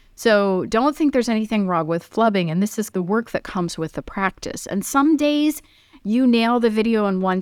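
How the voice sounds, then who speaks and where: In a very clean recording with a silent background and a dry, close sound with no echo, a woman speaks in an ordinary speaking voice. Her pitch is fairly high, her intonation lively and her pace fairly quick. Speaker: media coach and chef. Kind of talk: casual interview chat.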